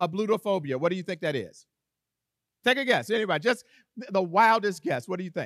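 Loud and lively, a high-pitched man talks very fast yet leaves long, frequent pauses. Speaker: preacher. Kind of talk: sermon. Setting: church.

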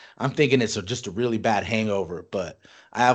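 Against a quiet background, a man speaks in an animated tone at a medium pitch and a moderate pace. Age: 30s. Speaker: podcast co-host. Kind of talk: casual chat.

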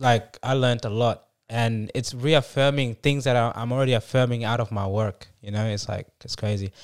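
In a very clean recording with a silent background, a man with an unremarkable speaking voice talks fairly quickly at medium pitch, his intonation fairly even. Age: 20s. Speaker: author. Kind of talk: casual chat.

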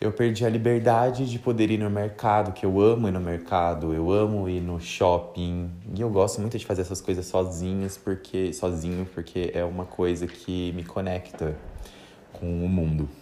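A man speaks with a very deep, low pitch and a relaxed tone. His intonation stays fairly even. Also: moderate pace. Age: 20s. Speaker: podcaster, journalist. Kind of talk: casual monologue. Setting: bedroom at home. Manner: relaxed, laughing.

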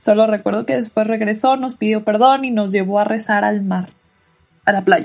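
Music plays in the background as a woman with a fairly high pitch speaks at a moderate pace, her pitch variation ordinary. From Mexico, Tijuana. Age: 20s. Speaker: podcast host. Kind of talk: personal testimony. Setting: bedroom at home.

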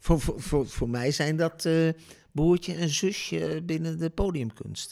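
The speaker uses ordinary pitch variation. The recording is very clean, with a silent background. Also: man. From Netherlands, Deventer. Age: 60s. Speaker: storytelling impresario. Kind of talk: interview. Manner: hesitant, many fillers.

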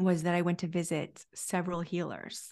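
A woman talks at a medium pitch in front of a quiet background. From California. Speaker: life coach and podcaster. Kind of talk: interview conversation. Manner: calm, reflective.

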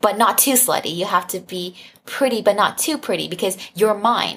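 A woman's medium-pitched voice, a normal speaking voice with ordinary pitch variation. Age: 20s. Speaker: sex-positive content creator and advocate. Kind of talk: casual chat.

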